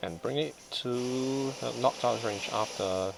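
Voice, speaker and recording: A man speaks fairly slowly. Music can be heard in the background. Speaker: competitive video game player. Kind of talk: gameplay commentary.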